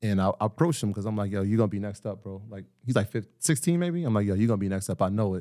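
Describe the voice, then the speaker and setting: Very fast male speech in a New York accent, fairly low in pitch with a dark, mellow tone, on a very clean recording with a silent background. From Greenburgh, Westchester, New York. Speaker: financial literacy entrepreneur. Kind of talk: casual interview. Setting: home studio.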